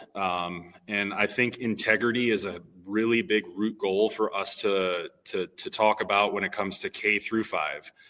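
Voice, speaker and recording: A man speaks loudly at a fairly low pitch, with a bright, sharp tone. He barely pauses, and the recording is very clean with a silent background. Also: ordinary pitch variation, moderate pace. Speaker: elementary PE teacher. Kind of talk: casual interview chat. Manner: hesitant, many fillers.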